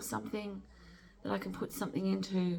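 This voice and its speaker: With vocal fry and very wide pitch swings, a woman talks at a moderate pace and a fairly low pitch. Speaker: amateur artist, channel owner. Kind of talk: casual vlog chat. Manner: soft-spoken; halting, many fillers. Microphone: no microphone, camera mic.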